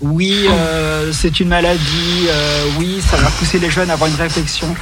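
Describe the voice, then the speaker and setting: With noticeable background noise around him, a high-pitched man keeps a moderate pace and fairly even intonation. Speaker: radio show co-host. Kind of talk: casual chat. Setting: studio.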